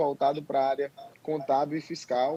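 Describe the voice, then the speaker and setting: A fairly high-pitched man's voice carries a dark, mellow tone. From Ceará, northeastern Brazil. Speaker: accountant and tax instructor. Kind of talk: live webinar interview. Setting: alone in his office, video call live stream.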